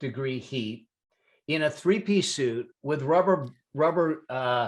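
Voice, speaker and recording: This man has an ordinary speaking voice, fairly high in pitch, with lively intonation at a fairly slow pace. Behind him, the background stays quiet. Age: 60s. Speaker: CPA and business consultant. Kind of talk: interview storytelling.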